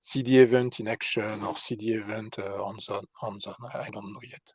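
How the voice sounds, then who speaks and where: A man talks at a moderate pace with a medium pitch. The sound is dry and close, with no echo. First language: not English. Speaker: open source developer, blogger. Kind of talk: video meeting discussion. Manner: halting, many hesitations.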